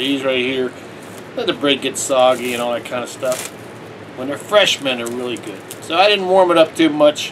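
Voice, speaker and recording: A man speaks at a moderate pace with ordinary pitch variation. Noticeable background noise runs underneath. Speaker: home food reviewer. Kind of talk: casual vlog chat. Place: home room. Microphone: phone near.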